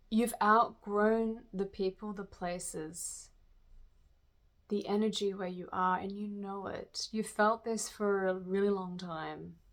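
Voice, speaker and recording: In a very clean recording with a silent background, a woman speaks at a very slow pace. Her medium pitch holds a flat monotone. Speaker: tarot reader. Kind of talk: channeled spiritual reading. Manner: halting.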